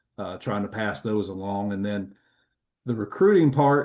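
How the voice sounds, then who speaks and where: Against a quiet background, a man with a Kentucky accent speaks at a moderate pace. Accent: Kentucky Southern US. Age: 50s. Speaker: retired football coach. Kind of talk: casual chat.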